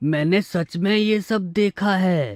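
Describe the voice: A cartoonish character voice at a middle pitch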